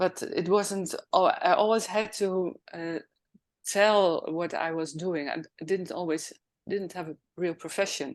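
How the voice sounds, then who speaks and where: A medium-pitched woman's voice with a Dutch accent and fairly even intonation, over a quiet background. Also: fairly slow pace. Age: 60s. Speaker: professional organizer. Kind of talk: interview.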